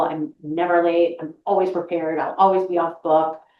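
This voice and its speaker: A woman speaks fairly quickly in an American accent, with a fairly low pitch. She has an ordinary speaking voice. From Boston, US Northeast. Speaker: voice actress. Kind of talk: interview conversation.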